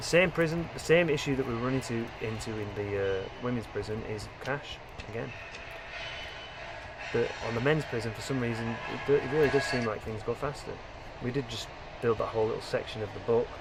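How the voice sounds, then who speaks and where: With audible room echo and noticeable background noise, a man at a medium pitch talks fairly quickly with ordinary pitch variation, broken by long, frequent pauses. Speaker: gaming video creator. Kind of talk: gameplay commentary. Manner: fast; rambling with frequent fillers and repetitions.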